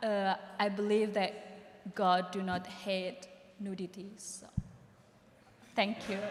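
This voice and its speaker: Over noticeable background noise, a woman at medium pitch speaks very slowly and in a flat monotone, with long, frequent pauses and big swings in loudness. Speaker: panelist, photographer or artist. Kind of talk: panel discussion.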